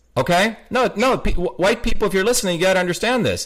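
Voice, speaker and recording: This man speaks at a moderate speed. The audio is very clean, and the background is silent. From India, Bombay. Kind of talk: casual interview chat.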